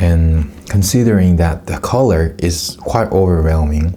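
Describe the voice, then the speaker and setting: The speaker has a non-native accent. Noticeable background noise comes through. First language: Korean. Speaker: food YouTuber. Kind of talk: casual taste test commentary. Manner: halting, with self-corrections.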